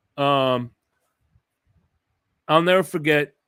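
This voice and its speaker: In a very clean recording with a silent background, a man speaks at a moderate pace with a bright, sharp, animated tone and ordinary pitch variation. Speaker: sports podcast host. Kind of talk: casual chat. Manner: loud.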